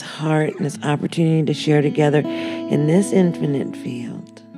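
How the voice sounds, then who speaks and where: A woman talks in a calm, gentle tone with music in the background. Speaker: meditation guide. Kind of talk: guided meditation.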